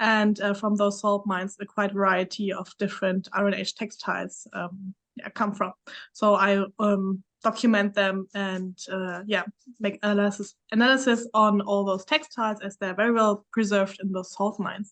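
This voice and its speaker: A woman's medium-pitched voice with a German accent, monotone and flat, at a moderate pace. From Germany. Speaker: PhD student, archaeologist. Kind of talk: panel discussion.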